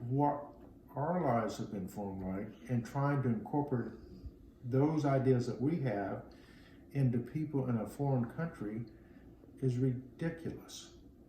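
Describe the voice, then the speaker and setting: A man talks in a dark, mellow, somewhat breathy tone at a fairly slow pace. Long, frequent pauses break his speech, and audible room echo surrounds it. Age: 60s. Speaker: Vietnam-era interviewee. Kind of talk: interview. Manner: halting.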